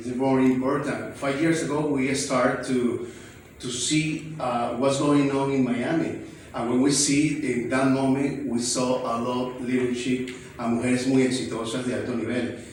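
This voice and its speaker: Over noticeable background noise and audible room echo, a man with a Spanish accent speaks at a medium pitch and a moderate pace in a monotone, flat intonation. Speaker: event organizer. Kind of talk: acceptance speech. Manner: halting.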